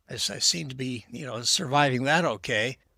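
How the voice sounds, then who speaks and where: A man with a bright, sharp tone speaks at a moderate pace on a very clean recording with a silent background. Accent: American. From Texas. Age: 70s. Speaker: podcast guest. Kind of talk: casual chat. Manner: halting, many repetitions.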